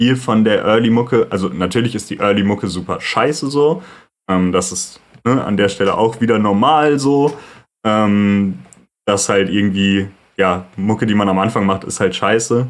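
Recorded very cleanly against a silent background, a man has a plain, everyday voice, a fairly low pitch, ordinary pitch variation and a moderate pace. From Sauerland, western Germany. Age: 20s. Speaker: music producer and podcast host. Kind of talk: solo monologue, casual. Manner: casual, many filler sounds.

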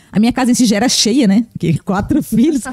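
A woman talks at a very fast pace, somewhat breathy, with ordinary pitch variation. The sound is dry and close, with no echo. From Blumenau, Santa Catarina, southern Brazil. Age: 30s. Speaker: pastor. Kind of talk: casual interview.

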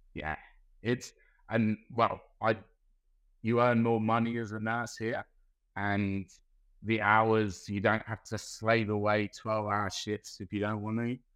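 Over a quiet background, a man with a London accent talks at a fairly low pitch and fairly slow pace, his intonation monotone and flat, with long, frequent pauses. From Southeast London. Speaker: nurse. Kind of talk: casual interview chat.

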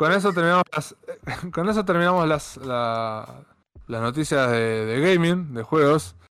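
A man's fairly high voice with lively intonation, a plain, everyday voice. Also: fairly slow pace. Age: 30s. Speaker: podcast host. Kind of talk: casual chat.

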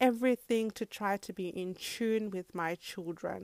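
Recorded very cleanly against a silent background, a woman with an Australian accent speaks with ordinary pitch variation in a dry, close sound with no echo. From Zimbabwe, then Australia from age 10. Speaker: podcast host and mother. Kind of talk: solo podcast monologue. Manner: casual, many fillers.

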